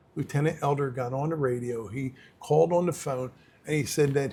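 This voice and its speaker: The voice is dark and mellow, somewhat breathy, moving at a fairly quick pace with fairly even intonation. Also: man. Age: 60s. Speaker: former prisoner, halfway house founder. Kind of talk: interview conversation. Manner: casual, plain-spoken.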